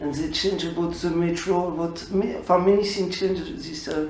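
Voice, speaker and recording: Noticeable background noise beneath a fairly quick delivery. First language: Polish. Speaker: radio interviewer. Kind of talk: interview. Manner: halting.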